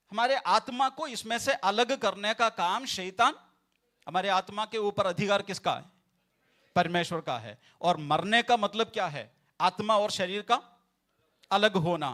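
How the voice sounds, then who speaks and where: A man projects his voice at a high pitch, his tone bright and sharp with ordinary pitch variation. The sound is dry and close with no echo, in a very clean recording with a silent background. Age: 40s. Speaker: pastor. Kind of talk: sermon. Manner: repetitive, emphatic.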